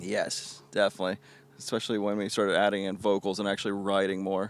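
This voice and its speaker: A man with a Southern US accent talks very fast in a fairly low, monotone, flat voice. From US South (southeast Georgia, Florida). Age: 20s. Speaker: reggae musician. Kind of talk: casual interview.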